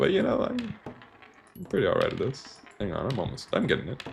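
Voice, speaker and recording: Noticeable noise can be heard behind the voice. It belongs to a man. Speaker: gaming streamer. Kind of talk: casual live-stream commentary. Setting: live stream with game audio. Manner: soft-spoken, ASMR-like.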